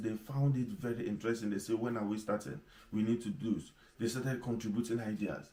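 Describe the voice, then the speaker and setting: A man talks at a very fast pace with a strong Nigerian accent and a dark, mellow tone. Audible room echo fills the recording. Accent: strong Igbo Nigerian. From Nigeria, Igbo. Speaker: pastor / leadership teacher. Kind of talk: sermon.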